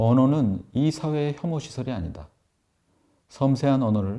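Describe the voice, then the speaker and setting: A man's calm, dark, mellow voice with lively intonation, in a very clean recording over a silent background. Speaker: professor and author reading his own book. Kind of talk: audiobook-style reading of an essay, ASMR. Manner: calm, soft, slow reading.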